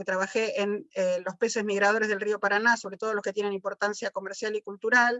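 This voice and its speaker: Fairly quick and fairly high in pitch, a woman speaks with monotone, flat intonation. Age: 60s. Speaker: biologist. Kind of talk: panel talk. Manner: halting, many fillers.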